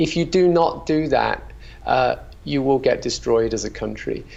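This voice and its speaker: A man with a British accent. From UK. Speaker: company founder. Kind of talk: interview. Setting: video call.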